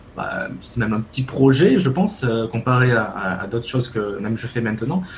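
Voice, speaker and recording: A man's medium-pitched voice is heard against noticeable background noise. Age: 20s. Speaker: web developer. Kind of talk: casual interview.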